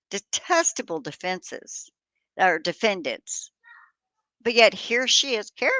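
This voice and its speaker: A woman speaks loudly in a bright, sharp, animated tone with lively intonation. The sound is dry and close, with no echo. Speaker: commentator on court cases. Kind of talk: opinion vlog rant.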